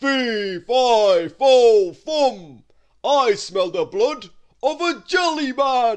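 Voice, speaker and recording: In a put-on character voice of extremely high pitch, a man speaks at a very slow pace. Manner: booming, threatening.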